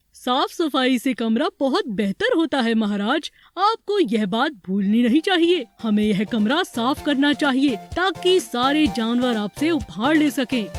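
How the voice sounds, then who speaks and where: A cartoonish character voice, female-sounding and high-pitched, at a fairly slow pace with hardly any pauses, over faint background music. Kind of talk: children's cartoon voice. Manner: polite, measured.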